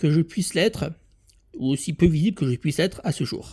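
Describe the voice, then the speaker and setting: A man speaks at a moderate pace in a dark, mellow tone with lively intonation. The recording is very clean, with a silent background. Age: 40s. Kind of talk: personal video appeal. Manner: halting.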